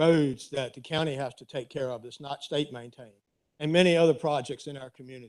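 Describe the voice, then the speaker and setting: A man speaks at a moderate pace and fairly high pitch, his intonation fairly even. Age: 60s. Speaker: resident speaking at public comment. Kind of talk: public comment at county board meeting. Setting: county board meeting room.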